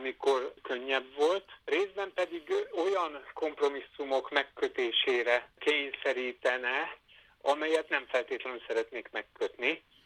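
The speaker uses a plain, everyday voice. The pace is fairly slow, with ordinary pitch variation. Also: man, fairly high pitch for a man. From Hungary, Veszprém. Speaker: botany professor. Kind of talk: interview.

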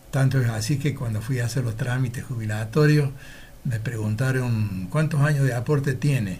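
A man speaks at a medium pitch with ordinary pitch variation and a somewhat breathy quality. His pace is moderate, and the room echo is audible. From Argentina, Laguna Larga, Córdoba. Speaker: retired teacher. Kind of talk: interview.

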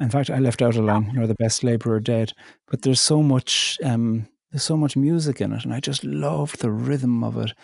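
With a Cork accent, a man at medium pitch talks at a fairly quick pace with lively intonation, the sound dry and close with no echo. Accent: Cork Irish. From Ireland, County Cork. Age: 40s. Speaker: poet and theologian. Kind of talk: interview.

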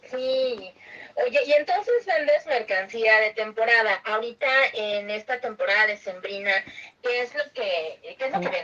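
A woman speaks at a fairly slow pace with a fairly high pitch and ordinary pitch variation. Noticeable background noise is present. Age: 30s. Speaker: podcast host. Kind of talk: interview.

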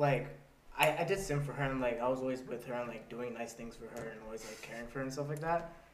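There's noticeable background noise as a man with a medium pitch talks at a very fast pace. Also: big swings in loudness. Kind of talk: casual comedic podcast chat.

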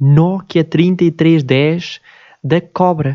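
With a European Portuguese accent, a man speaks in a high pitch and a dark, mellow tone, his pitch varying in an ordinary way. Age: 20s. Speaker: podcaster. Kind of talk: casual monologue. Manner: halting.

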